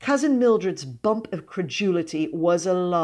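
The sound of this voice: Intonation here is lively. It belongs to an unforced reading voice.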